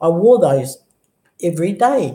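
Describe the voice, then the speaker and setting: A woman speaks at a medium pitch and a fairly slow pace. Her voice is somewhat breathy, with a dark, mellow tone. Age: 60s. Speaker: vlogger sharing health story. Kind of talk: personal testimony. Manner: animated, halting with many restarts.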